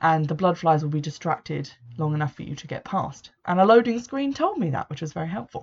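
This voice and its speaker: A woman with a fairly low, somewhat breathy voice talks very fast with lively intonation. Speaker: video game podcaster. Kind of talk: solo casual commentary. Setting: home room.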